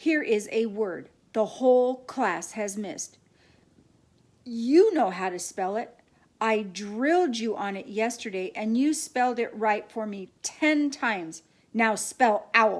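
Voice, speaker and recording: A woman uses a put-on character voice with a fairly high pitch. She speaks at a fairly slow pace with lively intonation. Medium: read story. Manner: stern, commanding.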